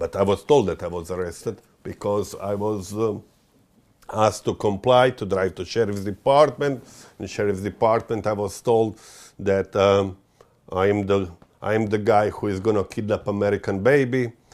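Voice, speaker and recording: A man with a fairly low pitch speaks in a strong Croatian accent. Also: fairly even intonation, moderate pace, very clean recording, silent background. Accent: thick Croatian. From Croatia, Dalmatian coast. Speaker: interviewee describing legal dispute. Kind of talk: interview testimony. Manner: halting, many fillers.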